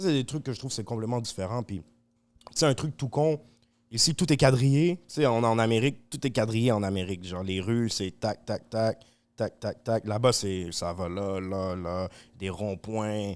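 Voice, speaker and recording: The recording is very clean with a silent background. A man with a Montreal accent speaks at medium pitch and a moderate pace with lively intonation. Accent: Montreal Québécois accent, softer. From Quebec, Montreal. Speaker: rapper. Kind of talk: casual chat.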